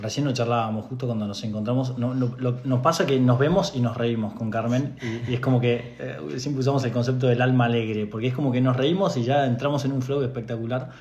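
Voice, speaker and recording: A man speaks at a very fast pace amid audible room echo and noticeable background noise. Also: medium pitch for a man, fairly even intonation. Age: 30s. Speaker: podcast co-host. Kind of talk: casual chat.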